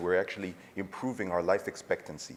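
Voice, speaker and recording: A man speaks in an American accent at a very fast pace. His pitch varies in an ordinary way. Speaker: urologist, conference speaker. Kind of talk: conference lecture.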